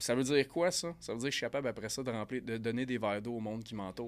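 In a very clean recording with a silent background, a man with a Quebec accent speaks very fast at a medium pitch with ordinary pitch variation. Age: 30s. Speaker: sales coach and firefighter. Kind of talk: casual interview.

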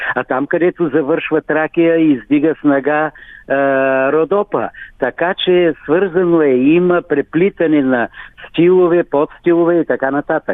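A man with an unremarkable speaking voice talks at a fairly slow pace and fairly high pitch, his intonation fairly even. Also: very even loudness. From Bulgaria, Svilengrad area (Thrace). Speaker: folk singer. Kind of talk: radio interview.

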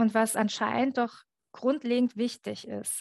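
At a moderate pace, a woman speaks in a fairly high, monotone voice with flat intonation, the sound dry and close with no echo. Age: 40s. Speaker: journalist and author. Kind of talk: casual chat.

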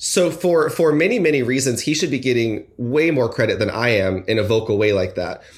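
Using an ordinary speaking voice and an American accent, a man talks at a fairly quick pace with hardly any pauses, his medium pitch lively in intonation and his loudness very even. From North Carolina (Fayetteville), early years Los Angeles area. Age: 20s. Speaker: podcast guest. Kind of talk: casual chat.

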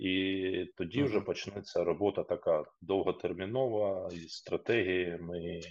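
A man talking at a fairly slow pace with hardly any pauses. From eastern Ukraine, Luhansk region (Popasna). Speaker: regional government official. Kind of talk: interview.

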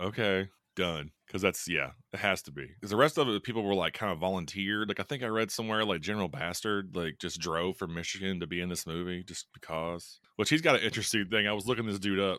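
A man with a Southern US accent talks at a very fast pace, hardly pausing, in a bright, sharp tone. His pitch is fairly low, and the recording is very clean with a silent background. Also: ordinary pitch variation. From US South, Kentucky. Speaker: high school teacher and horror podcast host. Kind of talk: casual chat. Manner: animated, joking.

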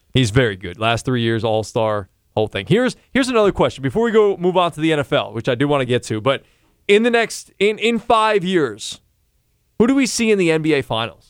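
Fairly high-pitched and fairly quick, a man talks with very wide pitch swings in a dry, close sound with no echo, music in the background. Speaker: podcast host. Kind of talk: casual sports chat.

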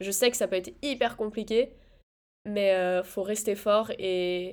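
A woman talks at a fairly slow pace and a medium pitch. She has an ordinary speaking voice. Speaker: podcast co-host, student. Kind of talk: casual chat.

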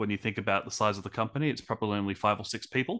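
Against a quiet background, a man with an Australian accent talks in a bright, sharp tone at a fairly low pitch. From Australia, Brisbane. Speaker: podcast host, guest. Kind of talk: interview.

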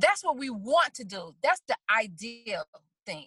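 Raised and projected, a woman's high-pitched voice has a bright, sharp tone and very wide pitch swings, recorded dry and close with no echo. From Chicago, South Side. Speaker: hairstylist and actress. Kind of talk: testimony.

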